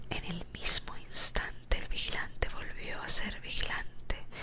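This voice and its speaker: A whisper at a very slow pace, with noticeable background noise. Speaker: ASMR storyteller. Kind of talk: sleep story. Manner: whispered.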